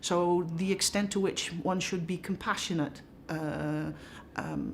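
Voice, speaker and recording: A woman speaks at a fairly slow pace with vocal fry. Her pitch is fairly low and her intonation fairly even. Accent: Dutch. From Netherlands. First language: Dutch. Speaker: professor. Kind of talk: interview.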